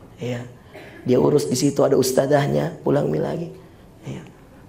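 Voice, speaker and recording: A man speaks at a moderate pace, with audible room echo in the recording. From Makassar, South Sulawesi, Indonesia. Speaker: Islamic preacher. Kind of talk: sermon. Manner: animated.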